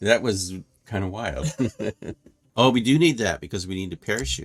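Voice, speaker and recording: Speaking at a moderate pace, a man with a fairly low voice and vocal fry makes very wide pitch swings. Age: 70s. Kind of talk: casual conversation while gaming.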